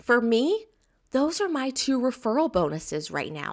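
A woman with a Southern US accent speaks at a fairly slow pace in a high pitch, her tone enthusiastic, on a very clean recording with a silent background. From US South. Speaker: business coach. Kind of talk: recorded course lesson.

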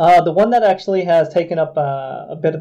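A man speaks at a fairly quick pace in a dark, mellow, somewhat breathy tone with ordinary pitch variation. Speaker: games industry executive. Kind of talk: casual chat.

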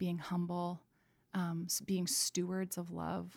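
A woman with a Canadian accent at a fairly slow pace. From Canada, Vancouver. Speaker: painter and product designer. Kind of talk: casual interview conversation. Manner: halting, many fillers and restarts.

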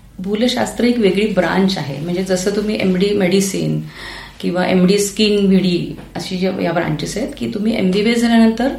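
A woman speaks at a medium pitch with ordinary pitch variation, with audible room echo and noticeable background noise. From Maharashtra, rural Pune district. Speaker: anaesthesiologist. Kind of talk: interview.

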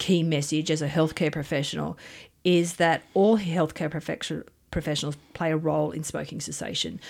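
A woman's very deep, low voice with vocal fry and an Australian accent, in a very clean recording with a silent background. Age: 50s. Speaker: nursing lecturer. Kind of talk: radio interview.

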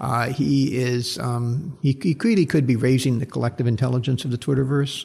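A man's somewhat breathy voice, medium in pitch, at a fairly quick pace. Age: 60s. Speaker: social science professor. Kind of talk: interview. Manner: halting, many repeated words.

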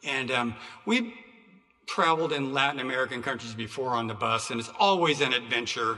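Audible room echo surrounds a man speaking at a medium pitch and a fairly quick pace, with ordinary pitch variation. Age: 60s. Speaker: preacher. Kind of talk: sermon. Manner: halting.

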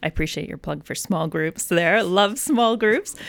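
A woman with a plain, everyday voice talks at a moderate pace. Her pitch varies in an ordinary way. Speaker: podcast host. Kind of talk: casual chat.

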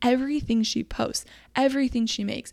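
The speaker is a woman. Her pitch changes little, staying fairly even. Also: very clean recording, silent background. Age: 30s. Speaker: podcast host; small business owner, t-shirt shop. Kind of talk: casual, chatty. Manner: fast talker.

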